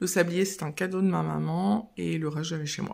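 A woman's plain, everyday voice, fairly low in pitch with ordinary pitch variation, at a moderate pace against a quiet background. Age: 30s. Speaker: mother of three, lifestyle vlogger. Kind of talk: casual house tour talk to camera. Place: home room. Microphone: phone near.

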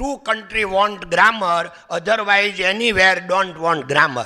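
Against a quiet background, a man with a high voice projects loudly, his pitch varying in an ordinary way. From Saurashtra, Gujarat (Amreli district); Gujarat, India. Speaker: diamond businessman; guest lecturer. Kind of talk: motivational talk. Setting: college auditorium with audience. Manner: conversational. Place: hall. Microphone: podium.

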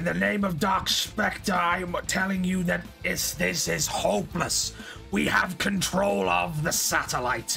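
Over clear background music, a man performs a put-on character voice at a fairly slow pace.

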